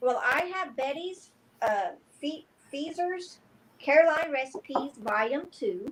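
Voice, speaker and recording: Loud and high-pitched, a woman speaks fairly slowly with lively intonation and long, frequent pauses. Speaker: guest seller on a live sale stream. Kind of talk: live online sale chat.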